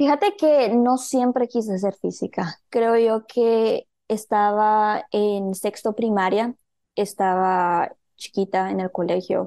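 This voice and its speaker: A woman with a Guatemalan accent speaks very slowly at a fairly high pitch with a dark, mellow tone and ordinary pitch variation, the sound dry and close with no echo over a quiet background. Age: 20s. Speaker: medical physicist. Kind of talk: interview.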